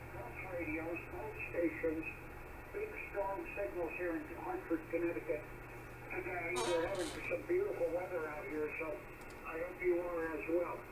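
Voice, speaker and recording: A man's high, monotone voice with flat intonation at a fairly slow pace, with long, frequent pauses, audible room echo and noticeable background noise. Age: 70s. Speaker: ham radio operator. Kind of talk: amateur radio contact. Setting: radio transmission from car outdoors.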